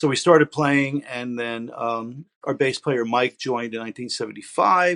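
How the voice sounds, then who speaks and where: A man with an unremarkable speaking voice talks at a moderate pace and medium pitch, with ordinary pitch variation and hardly any pauses. The background is quiet, and the sound is dry and close with no echo. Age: 60s. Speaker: rock guitarist. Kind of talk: interview. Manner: casual, with frequent fillers.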